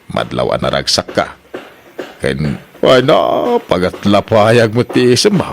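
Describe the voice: A man's put-on character voice, low-pitched with vocal fry, big pitch swings and a fairly slow pace.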